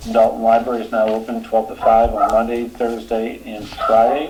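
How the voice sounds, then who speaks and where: Music plays in the background as a man with a Boston accent speaks at a moderate pace and medium pitch, with audible room echo. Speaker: select board chair. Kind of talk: public meeting announcements. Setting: remote public meeting.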